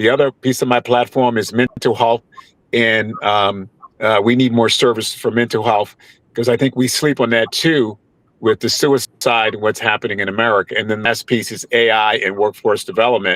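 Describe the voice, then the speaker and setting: A man speaks with a New York accent. His intonation is fairly even, and the sound is dry and close with no echo. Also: medium pitch for a man, moderate pace. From New York (Mount Vernon, near the Bronx). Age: 60s. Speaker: congressional candidate. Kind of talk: panel interview.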